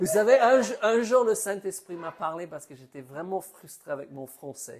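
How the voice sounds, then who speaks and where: This man has a high pitch and an English accent. His intonation is lively, with big swings in loudness. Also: moderate pace. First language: English (speaking French). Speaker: preacher. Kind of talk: sermon. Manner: halting, repeats words.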